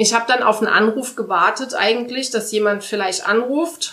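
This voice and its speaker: Using a plain, everyday voice, a woman talks at a moderate pace, her pitch fairly high and varying in an ordinary way. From Saarland, Saarbrücken. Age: 30s. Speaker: volunteer firefighter. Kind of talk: interview.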